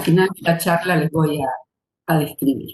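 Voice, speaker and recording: The speaker is a woman going at a moderate pace. Audible room echo surrounds her voice. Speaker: retired mathematics professor. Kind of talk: lecture.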